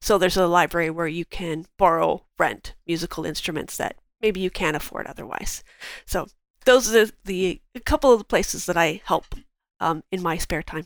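In a very clean recording with a silent background, a woman with a plain, everyday voice and fairly low pitch talks at a moderate pace with ordinary pitch variation. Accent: Canadian. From southern Ontario, Canada. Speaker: market researcher. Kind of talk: casual interview chat.

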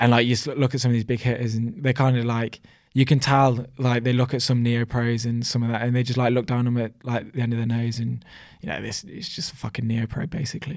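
Over a silent background in a very clean recording, a man at medium pitch talks at a very fast pace with fairly even intonation. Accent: Birmingham. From Coventry, England. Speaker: professional cyclist. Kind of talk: casual interview chat.

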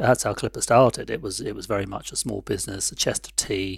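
A man with a London accent talks at a fairly quick pace, his fairly low voice showing vocal fry and fairly even intonation. The recording is very clean, with a silent background. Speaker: tea company founder. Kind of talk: interview.

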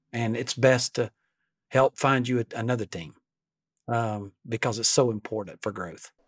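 A man with an Alabama accent and medium pitch speaks at a fairly slow pace, with long, frequent pauses. His intonation stays fairly even in a dry, close sound with no echo. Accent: US Southern (Alabama). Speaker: leadership coach and company founder. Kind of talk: casual interview.

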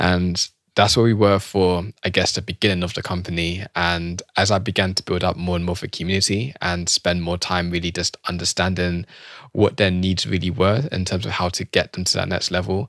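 On a very clean, dry and close recording with a silent background and no echo, a man with a British accent talks fairly quickly in a very deep, low voice with fairly even intonation. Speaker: entrepreneur and coach. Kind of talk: casual interview chat.

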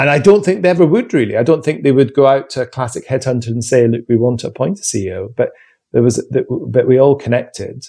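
A man talks at a medium pitch with ordinary pitch variation. His tone is dark, mellow and somewhat breathy. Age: 40s. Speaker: retail chief executive. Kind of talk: interview.

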